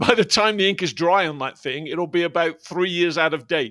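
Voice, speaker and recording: Fast-ish male speech with a British accent, the recording very clean and the background silent. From Britain. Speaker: podcast co-host, business leader. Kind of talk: casual chat.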